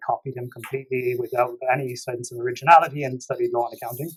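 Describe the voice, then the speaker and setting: This man has an Irish accent. He speaks at a very fast pace. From Ireland, Limerick City. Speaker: tax professional. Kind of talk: podcast interview.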